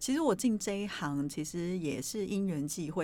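With a plain, everyday voice, a woman speaks at a fairly low pitch with ordinary pitch variation in a very clean recording with a silent background. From Taiwan, Yilan (Luodong). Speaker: podcast host, performing arts presenter. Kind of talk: casual chat.

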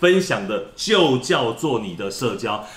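A man's pitch swings very widely as audible room echo fills the recording. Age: 50s. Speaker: company executive. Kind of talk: promotional interview.

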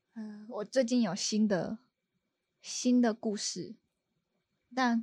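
A woman with a Taiwanese accent speaks at a very slow pace with long, frequent pauses. Her fairly high, somewhat breathy voice has a dark, mellow tone and fairly even intonation. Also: very clean recording, silent background. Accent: Taiwanese Mandarin. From Taiwan, Kaohsiung. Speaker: bridal stylist. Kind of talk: casual chat. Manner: nervous.

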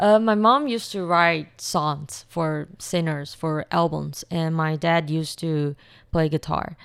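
This woman's pitch varies in an ordinary way, and the recording is very clean with a silent background. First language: Chinese. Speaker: university student and YouTuber. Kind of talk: interview. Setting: studio.

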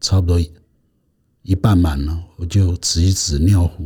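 A man's very deep, low voice with a dark, mellow tone, somewhat breathy, with fairly even intonation and a fairly slow pace. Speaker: patient association chairman, retired naval officer. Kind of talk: interview testimony. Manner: halting, many fillers.

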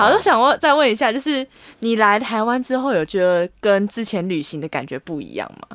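Her fairly high voice swings very widely in pitch and greatly in loudness as this woman talks at a fairly quick pace in an animated, nervous tone, recorded with a dry, close sound and no echo. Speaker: podcast host. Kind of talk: casual interview chat. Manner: animated, laughs often, nervous.

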